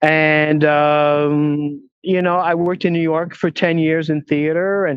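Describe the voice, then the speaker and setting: At a very slow pace, a man talks with fairly even intonation and a fairly high pitch. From Quebec, Montreal. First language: French. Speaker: film producer and talent agent. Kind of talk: interview. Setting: walking outdoors at a film studio lot, video call.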